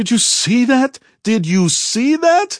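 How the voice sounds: A man shouts in a put-on character voice at an extremely high pitch, with big pitch swings. He goes at a slow pace, and the sound is dry and close with no echo. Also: very clean recording, silent background.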